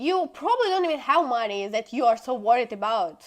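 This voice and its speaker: At a moderate pace, a woman with a non-native accent speaks in a high voice. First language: not English. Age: 20s. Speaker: social media vlogger. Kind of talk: casual monologue. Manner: animated.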